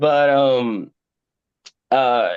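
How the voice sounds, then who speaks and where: A man with a Spanish accent. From Puerto Rico. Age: 40s. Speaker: indie horror author. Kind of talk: podcast interview. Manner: halting, many repeated words.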